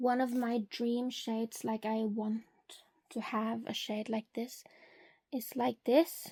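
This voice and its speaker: A woman talks at a very slow pace with long, frequent pauses and a monotone, flat intonation. Her fairly high voice has a dark, mellow tone in a dry, close sound with no echo. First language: not English. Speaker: beauty content creator. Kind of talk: product swatching tutorial.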